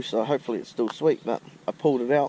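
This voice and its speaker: The speaker has a New Zealand accent and a moderate pace, with fairly even intonation. Noticeable background noise is present. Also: man. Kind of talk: casual talk to camera. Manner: hesitant, casual.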